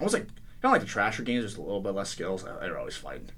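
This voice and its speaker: With audible room echo, a man with an American accent talks at medium pitch with fairly even intonation. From Connecticut, Danbury area. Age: 20s. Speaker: college hockey team captain. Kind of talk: radio interview. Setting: radio studio.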